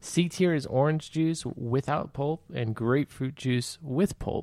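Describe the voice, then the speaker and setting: A man talks at a fairly slow pace in a plain, everyday voice, fairly high in pitch with ordinary pitch variation. The sound is dry and close, with no echo. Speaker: podcast host. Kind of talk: casual banter. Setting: studio. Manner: joking, laughs often.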